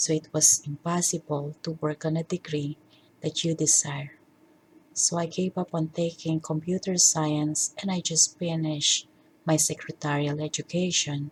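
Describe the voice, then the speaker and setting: Very deep and low, a woman's somewhat breathy voice holds a monotone, flat intonation at a moderate pace, with a dry, close sound and no echo. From Philippines. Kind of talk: personal life story narration.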